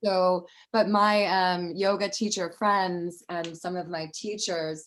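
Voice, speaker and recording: A woman with an American accent speaks very slowly at a medium pitch, keeping her intonation fairly even. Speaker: yoga teacher. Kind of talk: casual chat. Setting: video call.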